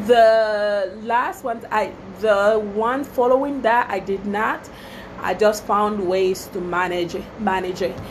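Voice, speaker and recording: A woman's fairly high voice with ordinary pitch variation, audible room echo and noticeable background noise. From Togo, West Africa. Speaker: small business owner, wedding planner. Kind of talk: casual Facebook live talk. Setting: Facebook live video. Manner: chatty, many fillers.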